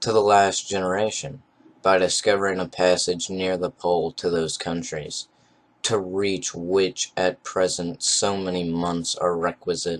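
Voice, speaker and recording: With fairly even intonation, a man speaks in a very deep, low voice. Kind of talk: novel reading. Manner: monotone.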